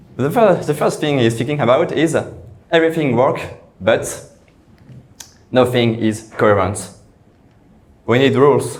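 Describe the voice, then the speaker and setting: Speaking at a moderate pace with lively intonation, a man is heard over audible room echo. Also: medium pitch for a man. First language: French. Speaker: software engineer. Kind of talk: conference talk. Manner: halting, repeated words.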